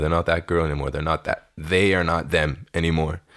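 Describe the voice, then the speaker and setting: In a Canadian accent, a man with a very deep, low pitch talks at a very fast pace. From Ontario, Canada. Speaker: digital creator and music curator. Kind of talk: casual chat.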